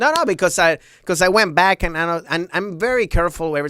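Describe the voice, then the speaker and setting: A man speaks in a fairly high pitch with a bright, sharp tone. His intonation is lively and his tone animated. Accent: Venezuelan. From Venezuela. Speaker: stand-up comedian. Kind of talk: podcast interview answer. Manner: casual, animated.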